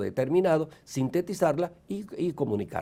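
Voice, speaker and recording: This man's voice has a dark, mellow tone. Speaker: university rector giving a conference talk. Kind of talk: lecture. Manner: fast.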